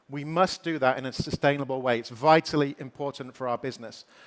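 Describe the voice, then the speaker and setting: A man with a British accent talks at a fairly quick pace with a dry, close sound and no echo. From Britain. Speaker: company executive giving keynote. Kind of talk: keynote speech.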